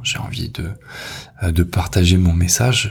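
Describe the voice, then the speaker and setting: This man's pitch is very deep and low. He sounds somewhat breathy and keeps his intonation fairly even. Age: 20s. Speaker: podcast host, copywriter. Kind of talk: personal monologue. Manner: halting, many repetitions and fillers.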